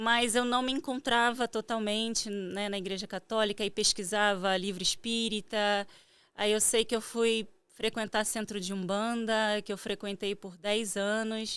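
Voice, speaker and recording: A woman's fairly high, flat monotone in a Carioca accent at a fairly slow pace, on a very clean recording with a silent background. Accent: carioca accent, moderate. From Rio de Janeiro, Brazil (Jacarepaguá). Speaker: meditation teacher and spiritual therapist. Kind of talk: interview.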